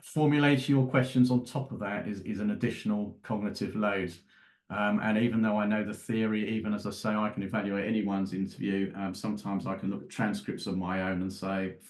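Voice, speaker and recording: Against a quiet background, a man talks fairly quickly at a fairly low pitch, his intonation fairly even. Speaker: forensic psychologist. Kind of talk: interview. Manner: fast; halting.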